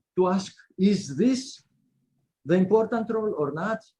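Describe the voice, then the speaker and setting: In a Greek accent, a man speaks very slowly with ordinary pitch variation and a dark, mellow tone. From Greece. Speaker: law professor. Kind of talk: panel discussion. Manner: halting; animated.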